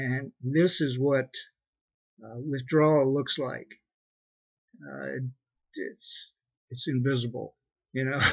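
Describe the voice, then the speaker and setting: Somewhat breathy, a man speaks very slowly at medium pitch with fairly even intonation and long, frequent pauses. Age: 60s. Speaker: vlogger giving a product testimonial. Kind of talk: testimony. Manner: halting.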